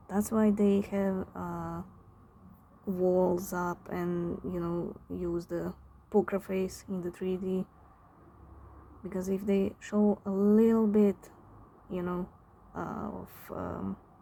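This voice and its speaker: A woman with a non-native accent speaks at a very slow pace and a medium pitch. Her intonation is monotone and flat, broken by long, frequent pauses. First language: not English. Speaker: tarot reader. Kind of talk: tarot reading. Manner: halting, searches for words; casual, filler-heavy.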